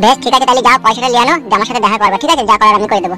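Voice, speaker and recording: Over clear background music, a man performs a cartoonish character voice at a high pitch, raised and projected, at a very fast pace. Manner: glib, self-assured.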